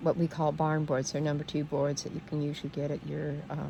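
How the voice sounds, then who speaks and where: A woman talks at a moderate pace with a very deep, low pitch, vocal fry, a dark, mellow tone and monotone, flat intonation. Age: 70s. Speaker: homesteader and gardening vlogger. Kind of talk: casual talk-to-camera tutorial. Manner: halting, with fillers and restarts.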